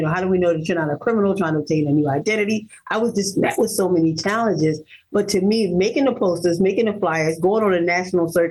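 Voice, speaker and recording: Speaking very fast with hardly any pauses, a woman keeps a medium pitch and very even loudness. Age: 50s. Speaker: abduction survivor and author of her story. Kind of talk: interview testimony.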